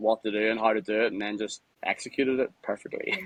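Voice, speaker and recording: A man with a Northern Irish accent talks at a fairly quick pace, his pitch in the medium range. The intonation stays fairly even, and the sound is dry and close with no echo. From Northern Ireland, Lisburn near Belfast. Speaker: mine worker and former nightclub promoter. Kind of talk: casual interview. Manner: fast, halting with repetitions.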